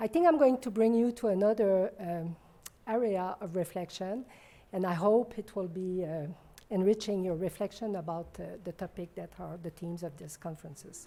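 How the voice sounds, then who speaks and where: In a French accent, a woman with a dark, mellow tone and medium pitch talks at a moderate pace, her pitch varying in an ordinary way while her loudness swings widely. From Quebec. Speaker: physician and professor. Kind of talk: conference talk.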